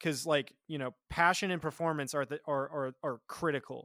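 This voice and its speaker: A man with an American accent at a moderate pace, fairly even intonation, dry, close sound with no echo, and a very clean recording with a silent background. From Nebraska. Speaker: recording engineer. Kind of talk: casual chat.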